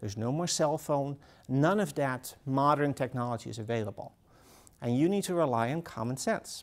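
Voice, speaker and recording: In a very clean recording with a silent background, a man with a Dutch accent speaks at a moderate pace, with a fairly high pitch and lively intonation. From Netherlands. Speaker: author. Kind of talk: talk to an audience.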